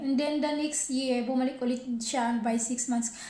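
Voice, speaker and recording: A woman speaks at a high pitch and a fairly slow pace. Her intonation is fairly even, and the room echo is audible. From Philippines. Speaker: vlogger, housewife; vlogger. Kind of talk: casual vlog storytelling. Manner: halting, self-correcting. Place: kitchen. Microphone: phone near.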